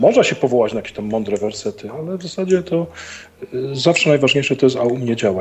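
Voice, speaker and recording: Very wide pitch swings run through a man's medium-pitched voice at a very fast pace. Noticeable background noise sits behind him. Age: 50s. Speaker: stand-in co-host. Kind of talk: casual chat.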